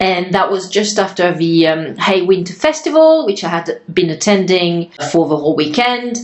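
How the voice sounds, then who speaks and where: A woman talks at a moderate pace with medium pitch and lively intonation, hardly pausing at all. Noticeable background noise runs underneath. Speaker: podcast host. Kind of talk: interview conversation.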